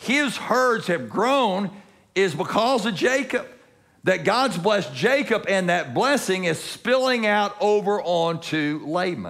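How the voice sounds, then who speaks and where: With a quiet background, a man talks at a fairly slow pace. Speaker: preacher. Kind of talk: sermon. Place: church.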